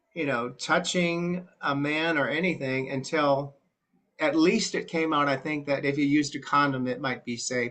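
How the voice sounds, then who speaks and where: An ordinary speaking voice from a man with an American accent, fairly high pitched, at a moderate pace. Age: 60s. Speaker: church group participant. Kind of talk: group discussion testimony.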